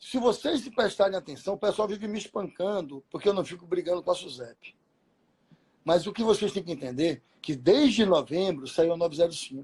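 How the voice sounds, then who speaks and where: Here a man talks with a high pitch and lively intonation. His loudness swings widely. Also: moderate pace. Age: 50s. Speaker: insurance community leader, live stream host. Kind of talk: casual live stream chat. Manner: animated.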